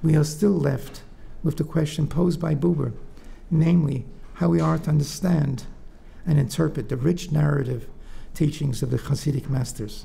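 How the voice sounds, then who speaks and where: In a room with audible echo, a man with a fairly high pitch and a dark, mellow tone speaks at a moderate pace with vocal fry, ordinary pitch variation, and long, frequent pauses. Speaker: professor. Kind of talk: lecture. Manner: soft-spoken; halting.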